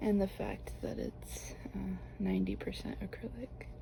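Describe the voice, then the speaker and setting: Soft-spoken and relaxed in tone, the voice moves at a fairly slow pace over noticeable background noise. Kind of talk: ASMR knitting talk to camera. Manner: soft-spoken, relaxed.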